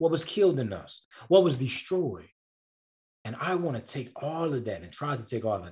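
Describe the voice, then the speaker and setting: Fairly high for a man, an animated voice with lively intonation, vocal fry, and a moderate pace. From rural US South. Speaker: writer and author. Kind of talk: casual interview chat. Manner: animated, repeats words.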